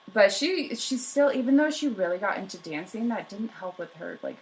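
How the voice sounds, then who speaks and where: A woman speaks with lively, bouncing intonation. Her words come out mumbled. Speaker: history podcast co-host. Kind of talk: casual chat. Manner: mumbling.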